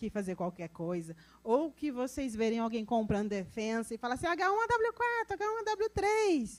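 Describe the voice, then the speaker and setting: She speaks in a rural Brazilian accent. Her tone is animated and her intonation lively. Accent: Brazilian countryside (interior). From interior of Brazil. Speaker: road safety specialist. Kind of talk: technical talk to audience.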